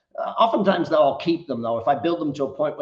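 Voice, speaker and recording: A man with an Australian accent over noticeable background noise. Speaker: business coach. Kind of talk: interview.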